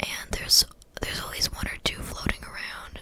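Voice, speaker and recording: Whispered speech comes through over noticeable background noise. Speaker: ASMR creator. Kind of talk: ASMR rambling monologue. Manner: soft-spoken.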